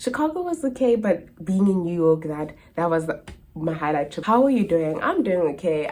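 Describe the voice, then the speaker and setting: With a South African accent, a woman talks at a moderate pace in a fairly low pitch, her tone dark and mellow and her intonation lively. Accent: South African accent unchanged. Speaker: au pair and vlogger. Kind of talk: casual Q&A chat to camera. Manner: animated.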